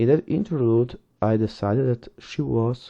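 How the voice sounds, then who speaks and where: Pitched in the medium range, a man talks with a non-native accent. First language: not English. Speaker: book reviewer. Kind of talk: reading aloud with commentary. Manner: halting.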